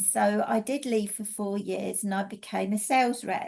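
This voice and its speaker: A woman with an English accent and a fairly high pitch, at a moderate pace with ordinary pitch variation. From England. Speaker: energy healing teacher and mentor. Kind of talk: casual presentation.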